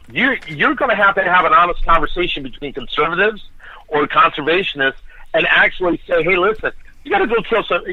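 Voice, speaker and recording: Speaking at a very fast pace, a man with a high voice uses lively intonation. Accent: East Coast US. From East Coast American.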